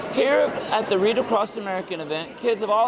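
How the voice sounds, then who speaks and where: A man talks at a fairly quick pace in an upbeat tone, with ordinary pitch variation. Noticeable background noise runs through the clip. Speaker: TV news reporter. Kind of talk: TV news report. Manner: upbeat, positive.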